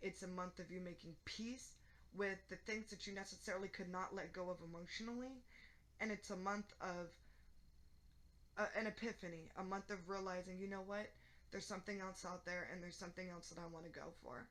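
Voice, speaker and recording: Her pace is fairly quick and her intonation fairly even, yet the woman leaves long, frequent pauses. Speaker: tarot reader. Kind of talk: tarot reading. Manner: monotone.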